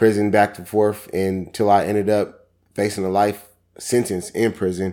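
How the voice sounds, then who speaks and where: Dark and mellow, a man's fairly low voice carries an American accent. The recording is very clean with a silent background. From Seattle, Washington. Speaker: author and motivational speaker. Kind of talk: casual interview.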